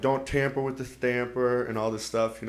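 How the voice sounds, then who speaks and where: In a gruff put-on character voice, a man speaks at medium pitch and a moderate pace with flat, monotone intonation against light background noise. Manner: gruff, scolding.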